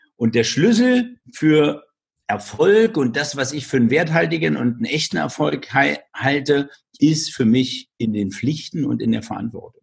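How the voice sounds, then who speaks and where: This man speaks fairly slowly with very wide pitch swings and vocal fry. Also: fairly high pitch for a man. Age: 50s. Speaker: entrepreneur, speaker and author. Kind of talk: interview.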